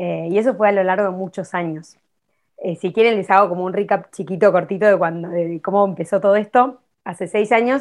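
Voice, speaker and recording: Against a quiet background, a woman with an unremarkable speaking voice talks at medium pitch and a fairly quick pace, her intonation fairly even. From Argentina. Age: 30s. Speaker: artist and environmental activist. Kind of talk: interview.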